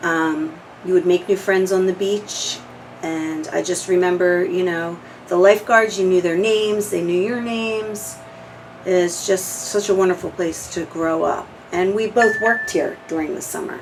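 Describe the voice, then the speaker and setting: A woman speaks at a moderate pace with an American accent, her pitch medium and her intonation fairly even. Noticeable background noise runs under her voice. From New Jersey (Audubon). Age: 40s. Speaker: oral history interviewee. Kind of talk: casual reminiscing interview.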